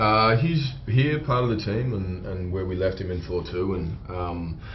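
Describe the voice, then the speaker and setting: The voice is somewhat breathy, with lively intonation, moving at a fairly slow pace. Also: man, very deep, low pitch for a man. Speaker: actor. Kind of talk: interview answer.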